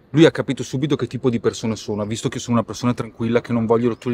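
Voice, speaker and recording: There is light background noise, and the sound is dry with no echo. A man speaks in a monotone, flat intonation. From Italy. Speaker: rapper; interviewee. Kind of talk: interview. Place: street.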